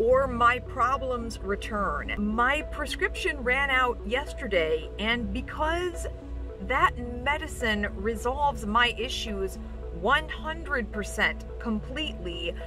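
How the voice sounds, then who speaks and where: Clear music plays in the background while a woman speaks at a very slow pace in a dry sound with no echo. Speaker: vlogger with stroke-like aphasia. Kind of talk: personal vlog talk to camera. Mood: earnest, a bit strained. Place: car. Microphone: phone near.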